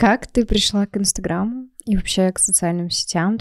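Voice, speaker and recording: Against a quiet background, a woman talks at a moderate pace in a dry sound with no echo. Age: 20s. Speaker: podcast host and marketer; podcast host. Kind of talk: podcast interview. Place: studio. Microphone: studio mic.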